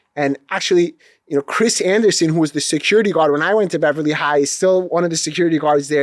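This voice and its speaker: In an Iranian accent, a man talks at a very fast pace with a fairly high pitch and ordinary pitch variation, the sound dry and close with no echo on a very clean recording with a silent background. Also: hardly any pauses. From Los Angeles, US. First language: Farsi. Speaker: attorney. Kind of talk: interview.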